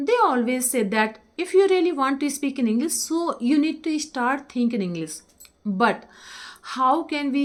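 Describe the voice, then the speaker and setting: Speaking at a moderate pace, a woman with an Indian accent uses lively intonation. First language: Hindi. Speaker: English teacher. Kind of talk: tutorial.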